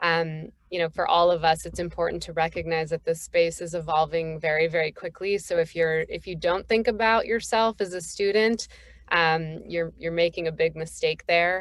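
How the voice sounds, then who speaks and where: In an ordinary speaking voice, a woman with an American accent speaks at a moderate pace and a fairly low pitch, her intonation fairly even. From northeastern US, Boston. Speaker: cannabis consultancy founder. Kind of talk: panel introduction.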